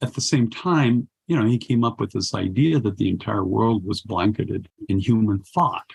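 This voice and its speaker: Somewhat breathy and fairly low in pitch, a man talks at a moderate pace with lively intonation. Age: 70s. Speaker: poet and war correspondent. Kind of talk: interview conversation. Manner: halting, many fillers.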